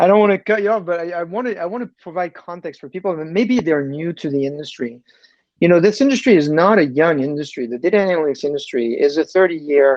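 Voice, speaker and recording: Talking very fast, a man with a French accent uses a high voice and lively intonation. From France. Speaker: tech executive. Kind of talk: interview. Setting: podcast.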